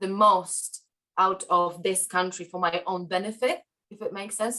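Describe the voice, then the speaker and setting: A woman's bright, sharp voice at medium pitch, with a Polish accent and a moderate pace. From Poland. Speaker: podcast guest. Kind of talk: interview conversation. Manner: halting, many fillers.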